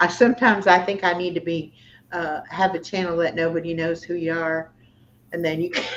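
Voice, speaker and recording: A woman's fairly low voice, fairly quick and fairly even in intonation, over noticeable background noise. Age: 60s. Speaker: YouTuber. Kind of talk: casual chat. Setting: livestream.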